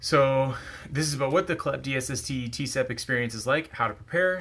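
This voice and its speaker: The man's pitch varies in an ordinary way. He talks at a fairly quick pace. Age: 20s. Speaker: online student video diarist. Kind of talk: casual tutorial vlog.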